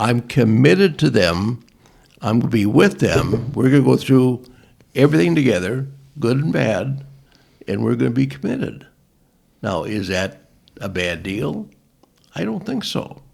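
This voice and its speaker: With lively intonation and vocal fry, a man speaks at a moderate pace. He leaves long, frequent pauses. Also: medium pitch for a man. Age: 80s+. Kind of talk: interview answer.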